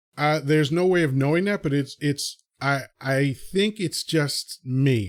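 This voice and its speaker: A man with an American accent uses an ordinary speaking voice, fairly high in pitch, with very even loudness and ordinary pitch variation. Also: fairly slow pace. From Dominican American, New York. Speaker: podcast host. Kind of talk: casual podcast conversation.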